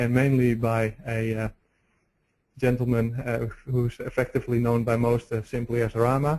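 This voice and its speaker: A man's medium-pitched voice in a Dutch accent, monotone and flat, at a moderate pace. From Netherlands. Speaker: road engineering researcher. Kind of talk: webinar presentation. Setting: webinar. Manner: halting, many fillers.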